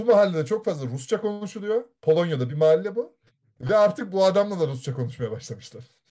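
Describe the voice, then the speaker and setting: At a very fast pace, a man with a high pitch and a dark, mellow tone uses very wide pitch swings. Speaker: podcast host. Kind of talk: casual chat, reading stories aloud. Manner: animated, jokey.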